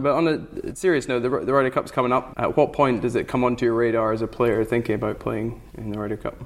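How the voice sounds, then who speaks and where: Vocal fry runs through this very fast delivery. There are hardly any pauses. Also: man, medium pitch for a man, ordinary pitch variation. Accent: Scottish. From Scotland. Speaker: podcast host. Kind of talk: casual interview. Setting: hotel room.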